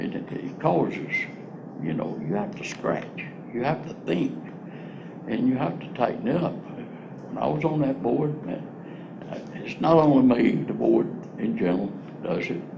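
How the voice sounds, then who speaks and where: In a North Carolina accent, a man at medium pitch talks at a fairly slow pace with very wide pitch swings and long, frequent pauses, amid audible room echo and noticeable background noise. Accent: Southern US, rural North Carolina. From North Carolina, Piedmont (born southern Virginia). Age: 80s+. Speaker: former county commissioner. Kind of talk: interview. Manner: halting, with many restarts.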